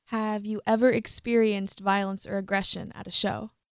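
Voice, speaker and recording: A woman with an American accent and an unremarkable speaking voice talks at a moderate pace with a fairly high pitch, in a very clean recording with a silent background and a dry, close sound with no echo. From US South. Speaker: podcast host. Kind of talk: interview.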